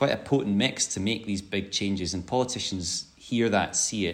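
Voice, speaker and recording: This man talks at a fairly quick pace, his fairly low pitch showing ordinary variation in a normal speaking voice. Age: 40s. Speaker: head of a public climate body. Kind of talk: podcast interview.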